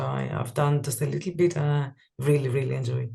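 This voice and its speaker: A woman speaks with a Greek accent. Her pace is moderate. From Greece. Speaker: type designer. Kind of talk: interview. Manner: halting, many fillers.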